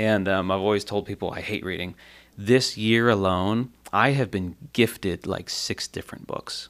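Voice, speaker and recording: This man has an unremarkable speaking voice, a fairly low pitch, fairly even intonation and a moderate pace. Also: very clean recording, silent background. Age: 30s. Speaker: church worship leader and podcast host. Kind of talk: casual chat.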